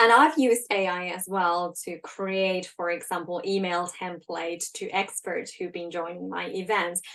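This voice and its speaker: A woman with a Finnish accent, fairly slow in pace, with ordinary pitch variation. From Finland. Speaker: leadership coach. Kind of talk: live webinar talk. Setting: livestream. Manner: casual, with many fillers.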